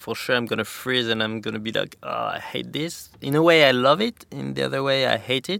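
In a French accent, a man talks with hardly any pauses. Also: fairly quick pace. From France, Pyrenees. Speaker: professional snowboarder. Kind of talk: interview. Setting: studio.

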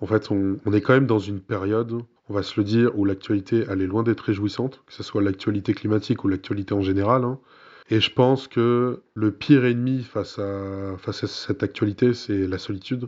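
Speaking in a plain, everyday voice, a man keeps a fairly quick pace, a fairly low pitch and fairly even intonation. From Burgundy, France. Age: 20s. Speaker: environmental NGO communications manager. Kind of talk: interview.

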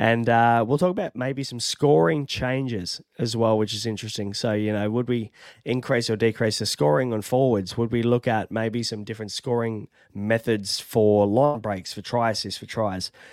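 A man with an Australian accent, speaking at a moderate pace. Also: medium pitch for a man, ordinary pitch variation. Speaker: fantasy sports podcast host. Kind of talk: casual chat. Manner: casual, chatty.

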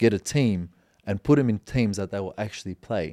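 Speaking with an Australian accent at a fairly quick pace, a man has a dark, mellow, fairly low voice with ordinary pitch variation, recorded very cleanly against a silent background with a dry, close sound and no echo. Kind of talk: casual chat.

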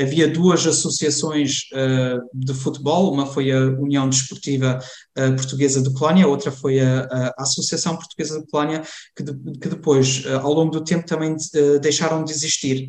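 A man's fairly high-pitched, monotone, flat delivery with hardly any pauses. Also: moderate pace. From Germany, Cologne, Portuguese parents from Lamego. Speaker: community association member. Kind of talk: interview conversation. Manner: halting, many fillers and repetitions.

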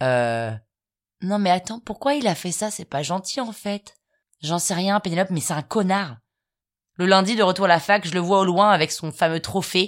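On a very clean recording with a silent background, a woman speaks at a moderate pace with lively intonation and long, frequent pauses. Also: medium pitch for a woman. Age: 30s. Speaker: podcast host, storyteller. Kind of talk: scripted comic storytelling. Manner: animated.

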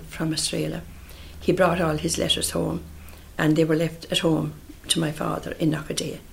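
A woman with a Munster accent. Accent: Irish, Munster. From Ireland, County Tipperary. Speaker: relative recalling family history. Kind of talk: oral history interview. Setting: interviewee's home in Killarney.

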